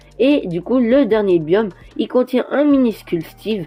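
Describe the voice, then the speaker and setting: Music plays behind a woman's voice. Her intonation is lively. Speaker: toy review youtuber. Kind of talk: product presentation over images. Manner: hesitant, many fillers.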